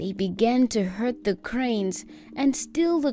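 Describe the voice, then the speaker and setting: Against music in the background, a woman with a fairly high pitch speaks at a fairly slow pace with lively intonation. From South Africa. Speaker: voice actor. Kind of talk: storytelling narration.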